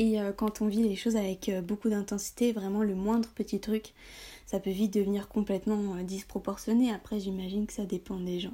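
A woman with a dark, mellow, somewhat breathy tone speaks at medium pitch and a moderate pace in a flat monotone, on a very clean recording with a silent background. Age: 20s. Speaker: blogger on high sensitivity. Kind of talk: casual interview chat.

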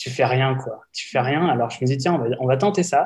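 A man's somewhat breathy voice, medium in pitch, with ordinary pitch variation and a moderate pace. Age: 30s. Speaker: industrial sector employee and wellbeing consultant. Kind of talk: interview.

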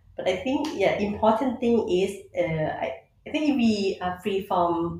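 This woman has a Thai accent. Her intonation is lively. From Thailand. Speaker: conservationist. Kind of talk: interview. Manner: halting.

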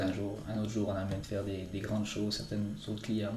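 Over noticeable background noise and audible room echo, a man with a fairly low voice speaks at a moderate pace with fairly even intonation. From Switzerland, Valais (Entremont valley). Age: 20s. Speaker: mountain guide and ski maker. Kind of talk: interview. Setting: his workshop. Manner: halting.

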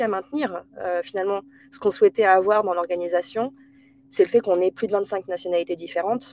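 Fairly quick delivery with a dry, close sound and no echo. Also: woman. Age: 30s. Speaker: HR director. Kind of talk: interview. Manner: hesitant, many fillers.

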